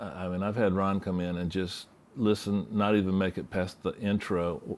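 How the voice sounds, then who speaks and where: A man's very deep, low voice holds a fairly even intonation. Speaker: mixing engineer. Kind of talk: interview. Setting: studio.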